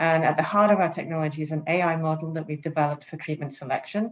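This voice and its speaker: A woman with a British accent and fairly low pitch, against a quiet background. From England, London. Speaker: startup CEO, panelist. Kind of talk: panel discussion.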